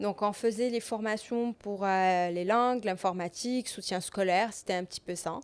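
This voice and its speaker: Medium in pitch, a woman speaks at a moderate pace with fairly even intonation and hardly any pauses. The recording is very clean, with a silent background. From Morocco, Rabat. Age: 30s. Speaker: entrepreneur. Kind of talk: podcast interview. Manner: hesitant, many fillers.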